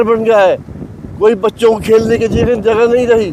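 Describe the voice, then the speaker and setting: This man's voice sits high in pitch. Noticeable noise runs behind him. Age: 70s. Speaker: local resident. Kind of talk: street interview.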